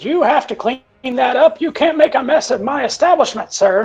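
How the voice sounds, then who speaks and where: Over faint music in the background, a put-on character voice speaks at a high pitch and a moderate pace. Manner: stern, scolding.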